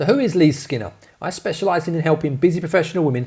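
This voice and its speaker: A man speaks at a very fast pace with lively intonation. His tone is dark, mellow and somewhat breathy. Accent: London. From London, England. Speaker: fitness coach. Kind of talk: webinar sales presentation. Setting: online video training. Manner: energetic.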